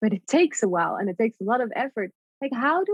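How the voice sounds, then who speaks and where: A woman with a Dutch accent speaks fairly quickly at a fairly high pitch. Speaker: artist and poet. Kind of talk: casual chat.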